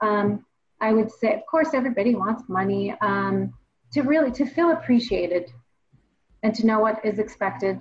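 Somewhat breathy and very even in loudness, a woman with an American accent speaks at a fairly high pitch and moderate pace with ordinary pitch variation. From Washington State, US. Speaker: dental practice management consultant. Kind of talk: casual interview.

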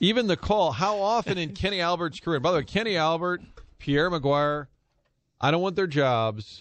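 The voice has a lively, bouncing intonation with an American accent. Its tone is animated. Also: man, high pitch for a man, moderate pace, very even loudness. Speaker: sports radio host. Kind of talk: sports talk radio commentary. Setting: radio studio. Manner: animated, chatty, riffing with jokes and laughter.

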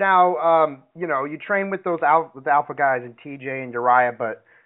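A normal speaking voice of a man with an American accent, lively in intonation and fairly quick in pace. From US, Seattle. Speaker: MMA podcast host and gym coach. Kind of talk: casual interview; sponsor read. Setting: live call-in show.

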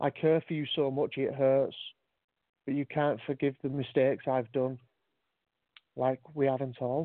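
Speaking with a British accent, a man uses a fairly high pitch and a moderate pace. His intonation is flat and monotone, with long, frequent pauses. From UK. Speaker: caller, poet. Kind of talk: spoken word performance. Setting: phone call.

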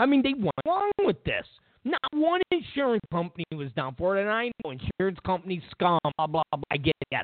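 A man's voice with big pitch swings at a moderate pace, the sound dry and close with no echo

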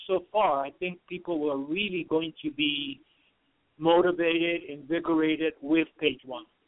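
The speaker has a Puerto Rican accent. The pace is fairly slow. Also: man. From Puerto Rico. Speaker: insurance broker, page creator. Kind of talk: radio interview. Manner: halting.

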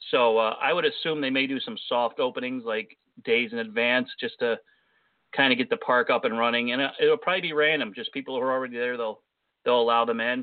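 Speaking in a normal speaking voice, a man keeps a medium pitch, a fairly quick pace and fairly even intonation. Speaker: radio host. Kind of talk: solo podcast rant and news update. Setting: online radio show. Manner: casual, conversational.

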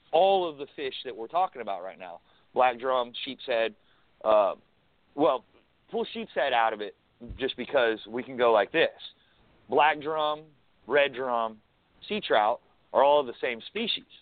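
With an American accent, a man at medium pitch speaks at a fairly slow pace, with lively intonation, big swings in loudness and long, frequent pauses. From Florida (Brevard County). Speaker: fishing guide. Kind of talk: casual chat.

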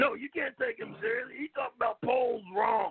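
Using very wide pitch swings, a man speaks at a moderate pace. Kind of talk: casual banter show. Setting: phone call. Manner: animated.

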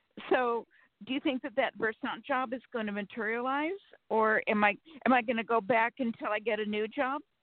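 A woman with an American accent and an ordinary speaking voice, fairly high in pitch and fairly quick, with ordinary pitch variation. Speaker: caller. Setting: phone call.

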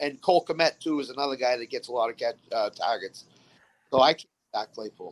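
A man with a Boston accent at a fairly quick pace, in a dry, close sound with no echo. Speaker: fantasy football player. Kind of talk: casual chat.

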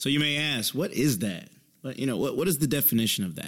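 A man's medium-pitched voice with vocal fry at a very fast pace, on a very clean recording with a silent background. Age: 20s. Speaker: podcast host. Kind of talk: solo podcast monologue. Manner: animated.

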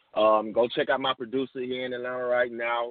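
In a Memphis accent, a man delivers his words at a medium pitch with flat, monotone intonation. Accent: Southern US (Memphis). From Memphis, Tennessee. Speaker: indie recording artist. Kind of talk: interview. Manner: casual, relaxed.

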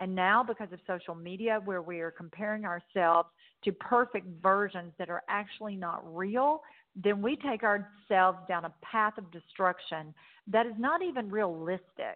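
In a Southern US accent, a woman talks at a moderate pace and medium pitch with ordinary pitch variation. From US South. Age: 60s. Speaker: motivational speaker. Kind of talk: interview. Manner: animated.

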